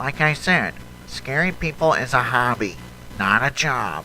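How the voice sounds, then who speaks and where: A man performs a cartoonish character voice over clear background noise. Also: medium pitch for a man, moderate pace. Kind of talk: cartoon fan dub dialogue.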